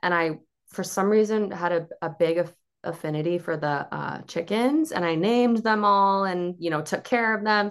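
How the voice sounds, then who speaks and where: In an American accent, a woman with an unremarkable speaking voice talks at a moderate pace and medium pitch with ordinary pitch variation against a quiet background. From Cape Cod, Massachusetts. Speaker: dietitian. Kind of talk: casual interview chat.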